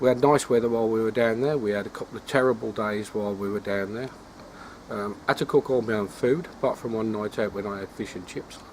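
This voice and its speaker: A man talks at a very fast pace. His medium-pitched voice holds a fairly even intonation. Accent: English. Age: 60s. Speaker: carp angling vlogger. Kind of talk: casual vlog monologue. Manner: hesitant, many fillers.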